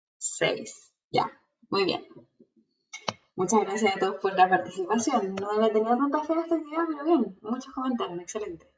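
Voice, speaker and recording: Her voice fairly high, a woman speaks in an animated tone with very wide pitch swings. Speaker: teacher. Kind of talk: online lecture. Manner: fast.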